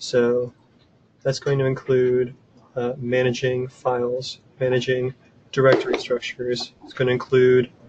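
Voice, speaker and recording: Noticeable background noise sits behind a man speaking at medium pitch. His delivery is fairly slow and monotone, with flat intonation. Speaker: software developer presenting a tool. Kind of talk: webinar presentation. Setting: online webinar from office desk. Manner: casual, filler-heavy.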